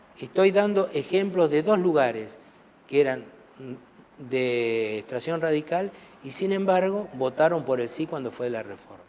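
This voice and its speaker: With a Rioplatense accent, a man speaks at a fairly slow pace in a fairly high pitch, his intonation lively and his loudness swinging widely. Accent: Argentine Rioplatense Spanish. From Argentina, Buenos Aires province interior (Trenque Lauquen). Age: 60s. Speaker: parliamentary secretary of a legislature. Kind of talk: TV interview.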